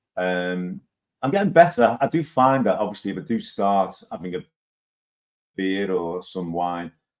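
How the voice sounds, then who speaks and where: A man with a Liverpool accent talks at a moderate pace, with long, frequent pauses. His fairly low pitch carries lively intonation. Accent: Liverpool (Scouse). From Liverpool, England. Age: 60s. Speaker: live stream host. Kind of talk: casual chat. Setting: live stream.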